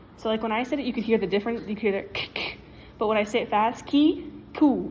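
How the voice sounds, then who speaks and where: Fairly quick and somewhat breathy, a woman talks at a fairly high pitch with ordinary pitch variation. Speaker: student. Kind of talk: casual class presentation. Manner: fast; casual, filler-heavy.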